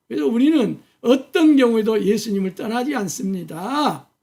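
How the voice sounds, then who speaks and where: A man speaks at a high pitch with a dark, mellow tone. His intonation is lively and his pace fairly slow. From Korea, Jeolla region. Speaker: pastor. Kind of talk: sermon. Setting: church, early morning service video.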